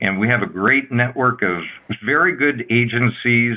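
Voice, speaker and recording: A man with an American accent and a medium pitch. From US, central Pennsylvania. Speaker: nonprofit founder. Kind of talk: radio interview. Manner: halting, many fillers.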